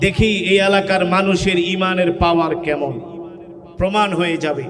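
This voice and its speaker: An energetic man speaks over noticeable background noise. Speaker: Islamic preacher and Quran reciter. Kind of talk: Islamic sermon (waz) delivered to a live crowd with call-and-response. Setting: outdoor public gathering, addressing a large crowd. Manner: loud, energetic, rhetorical, urging the crowd to respond.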